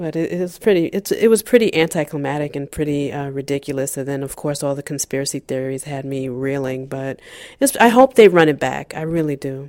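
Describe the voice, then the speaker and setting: A woman's very deep, low voice moves at a fairly quick pace, with ordinary pitch variation and big swings in loudness. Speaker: podcast co-host. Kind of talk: casual chat.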